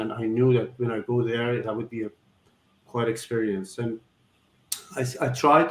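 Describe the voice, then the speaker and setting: The speaker has an Iranian accent. The intonation stays flat and monotone. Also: man. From Iran, Tehran. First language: Farsi. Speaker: surgeon. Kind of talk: interview. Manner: halting.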